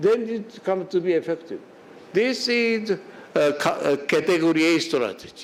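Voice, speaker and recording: Audible room echo surrounds a man's voice. He speaks at a fairly slow pace with lively intonation. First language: Japanese. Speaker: quality management expert speaker. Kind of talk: lecture. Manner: halting, many fillers and restarts.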